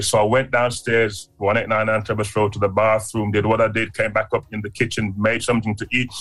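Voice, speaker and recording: A man, somewhat breathy, at a moderate pace. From Jamaica, moved to UK as a child. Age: 60s. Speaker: community leader, founder of prison outreach charity. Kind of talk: interview, personal testimony.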